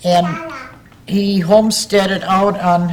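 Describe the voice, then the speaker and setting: With an Upper Midwest US accent, a woman with a fairly low pitch speaks at a very slow pace and with ordinary pitch variation, over noticeable background noise. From northern Wisconsin. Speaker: local elder interviewee. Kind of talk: oral history interview.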